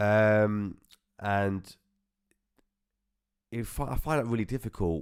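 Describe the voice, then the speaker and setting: Mumbling in a British accent, a man speaks at a fairly low pitch on a very clean recording with a silent background. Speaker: podcast host. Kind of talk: personal testimony.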